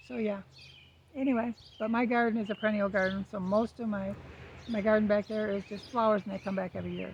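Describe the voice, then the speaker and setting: A soft-spoken woman talks at a very fast pace. Her intonation is monotone and flat. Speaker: lifestyle vlogger. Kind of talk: casual chat. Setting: outdoors. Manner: hesitant.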